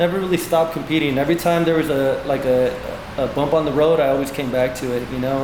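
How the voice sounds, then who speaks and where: A man with an American accent and fairly even intonation, amid noticeable background noise. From East Los Angeles, California. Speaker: Muay Thai fighter and coach. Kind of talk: interview answer. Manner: casual, relaxed.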